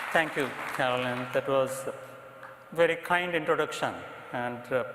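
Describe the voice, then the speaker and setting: In an Indian accent, a man talks at a moderate pace with fairly even intonation, audible room echo and crowd noise behind him. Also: fairly high pitch for a man. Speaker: psychiatrist, association president. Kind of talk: presidential address. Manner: formal.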